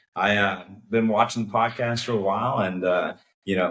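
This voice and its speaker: In a Texan accent, a man talks at a fairly low pitch with fairly even intonation. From Texas, Conroe near Houston. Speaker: cook-off organization co-founder. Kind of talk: casual interview.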